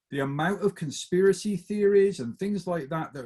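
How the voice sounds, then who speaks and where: This man's high voice swings very widely in pitch. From England, Bristol. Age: 50s. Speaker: motivational speaker. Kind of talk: talk to a group. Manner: animated.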